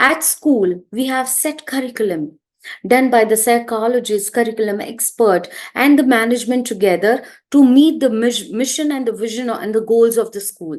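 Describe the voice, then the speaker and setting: A woman speaks with a Gujarati accent at a moderate pace. Her pitch is fairly high. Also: ordinary pitch variation. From India, Gujarati background. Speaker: early childhood educator and trainer. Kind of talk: interview talk, advice to parents.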